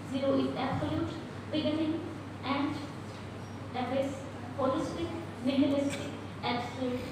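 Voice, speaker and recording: A woman speaks at a moderate pace in a room with strong echo and noticeable background noise. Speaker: poet on a festival panel. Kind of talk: poetry reading and introduction. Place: hall. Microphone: camera far.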